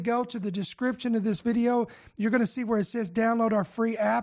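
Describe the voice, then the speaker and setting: With an American accent, a man speaks at an extremely high pitch and a fairly quick pace, his tone animated. His pitch variation is ordinary, and the background is quiet. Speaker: podcast host. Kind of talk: prophecy-themed news commentary. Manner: animated, direct address.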